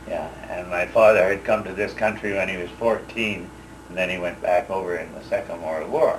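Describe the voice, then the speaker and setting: A man talks at a fairly quick pace with audible room echo and noticeable background noise. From Saskatchewan, Canada. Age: 60s. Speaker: war veteran. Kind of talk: oral history interview. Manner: halting, many fillers.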